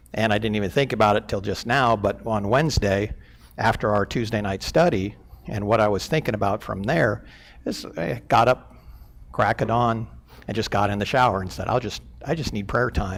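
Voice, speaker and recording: Speaking at a moderate pace, a man uses a fairly low voice with vocal fry and ordinary pitch variation. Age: 60s. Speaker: church elder. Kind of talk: sermon. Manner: halting, many fillers.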